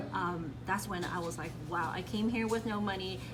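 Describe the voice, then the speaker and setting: Against music in the background and audible room echo, a woman talks at a fairly quick pace, her fairly low pitch varying in an ordinary way. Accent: Cantonese. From Hong Kong. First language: Cantonese. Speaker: real estate agent. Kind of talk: radio interview.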